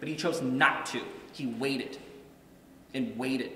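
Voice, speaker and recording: With audible room echo around him, a man speaks at a fairly quick pace. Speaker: guest. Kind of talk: press conference speech. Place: hall. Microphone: podium.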